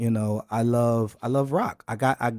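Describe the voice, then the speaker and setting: This man has an ordinary speaking voice with an American accent and a medium pitch, talking at a fairly slow pace with fairly even intonation. The recording is very clean, with a silent background. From Lancaster, Pennsylvania, USA. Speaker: hip hop artist. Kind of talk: interview answer.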